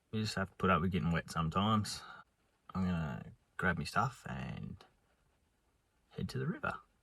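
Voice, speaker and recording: A bright, sharp tone with vocal fry in an Australian accent, lively intonation, a fairly quick pace and long, frequent pauses. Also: man, very deep, low pitch for a man. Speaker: fishing vlogger. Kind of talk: casual vlog commentary. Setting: outdoors by a river.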